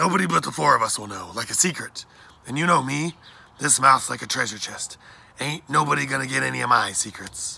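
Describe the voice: A man does a put-on character voice at a fairly quick pace. His bright, sharp tone has vocal fry and a slightly husky edge. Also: medium pitch for a man, ordinary pitch variation.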